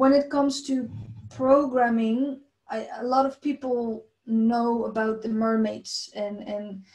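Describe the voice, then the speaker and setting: A woman speaks very slowly with a non-native accent. Her pitch is fairly high and her intonation fairly even. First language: not English. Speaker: abuse survivor sharing testimony. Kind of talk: testimony. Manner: halting, many fillers and repetitions.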